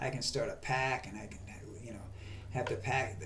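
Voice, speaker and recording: Audible room echo around a man's fairly quick pace of speech. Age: 70s. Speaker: video blogger. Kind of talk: political monologue. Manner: halting.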